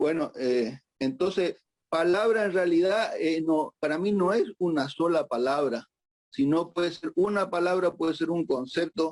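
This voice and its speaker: A high-pitched man at a fairly slow pace, with very even loudness and ordinary pitch variation. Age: 60s. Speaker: psychiatrist. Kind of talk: conference talk. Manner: halting, many fillers.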